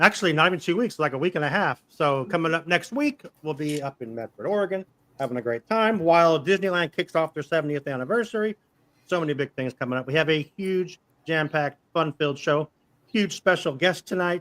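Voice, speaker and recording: Talking at a fairly quick pace, a man has a fairly high pitch. The sound is dry and close, with no echo. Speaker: live stream show host. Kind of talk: casual chat. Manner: fast.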